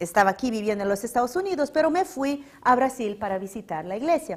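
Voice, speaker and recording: Very wide pitch swings in a woman's high voice. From Brazil, São Paulo. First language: Portuguese (speaking Spanish). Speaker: religious lecturer. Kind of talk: public lecture.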